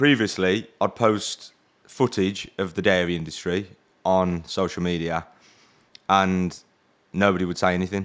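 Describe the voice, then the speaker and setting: A man with a very deep, low pitch speaks at a moderate pace with fairly even intonation and long, frequent pauses. The recording is very clean, with a silent background. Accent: English. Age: 30s. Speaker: podcast host. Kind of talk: casual interview chat.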